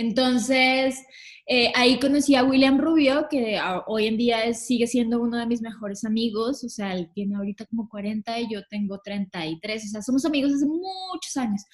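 At a moderate pace and a fairly high pitch, a woman talks in a plain, everyday voice whose pitch varies in an ordinary way. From Colombia, Villavicencio. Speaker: tour manager. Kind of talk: casual interview chat.

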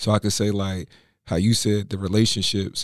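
In an American accent, a man with an unremarkable speaking voice talks at a fairly quick pace and a fairly low pitch, on a very clean recording with a silent background. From Philadelphia, US. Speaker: entrepreneur, former college football player. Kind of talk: casual interview.

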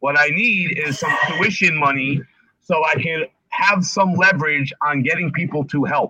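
A man's fairly high voice, a plain, everyday voice, at a fairly slow pace with ordinary pitch variation. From New Jersey. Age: 50s. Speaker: barber and barbershop owner. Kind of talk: casual interview.

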